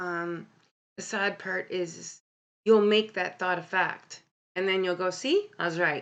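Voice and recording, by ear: At a fairly slow pace, a woman speaks with a fairly low pitch, a fairly bright tone and ordinary pitch variation.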